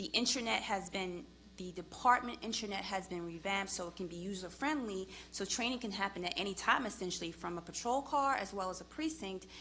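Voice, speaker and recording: Bright and sharp in tone, a woman with a Long Island accent talks at a fairly quick pace with lively intonation and medium pitch. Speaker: police department official. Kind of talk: public hearing testimony. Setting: public committee hearing.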